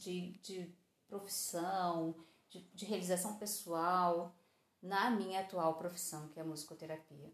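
A woman's ordinary speaking voice, fairly slow, with ordinary pitch variation. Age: 40s. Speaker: podcast host. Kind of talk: casual monologue.

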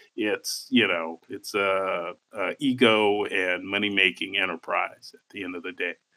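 An ordinary speaking voice at a fairly slow pace, with big swings in loudness, hardly any pauses and fairly even intonation. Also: man, fairly low pitch for a man. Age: 30s. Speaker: film podcast co-host. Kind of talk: casual chat.

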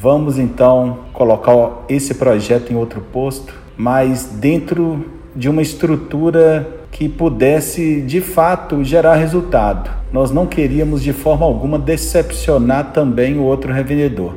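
Noticeable background noise and audible room echo surround a man speaking at a fairly slow pace with ordinary pitch variation. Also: fairly high pitch for a man. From Brazil, interior of Minas Gerais. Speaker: fuel station owner and business CEO. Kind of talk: interview conversation.

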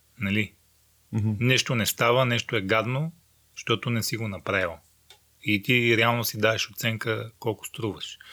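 A calm, bright, sharp-toned man, medium in pitch, with fairly even intonation. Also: moderate pace. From Bulgaria, Rhodope mountains. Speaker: adventurer. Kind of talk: casual interview. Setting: unfinished attic in a village house.

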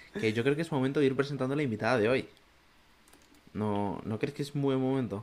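A man talks at a very fast pace in a medium-pitched voice. His speech is broken by long, frequent pauses. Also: ordinary pitch variation. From Zaragoza, Spain. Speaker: podcast co-host. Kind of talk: casual chat.

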